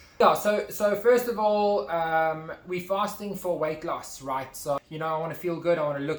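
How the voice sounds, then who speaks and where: There is noticeable background noise as a man speaks at a moderate pace. His voice sits at a fairly high pitch. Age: 20s. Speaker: YouTuber. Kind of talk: casual chat.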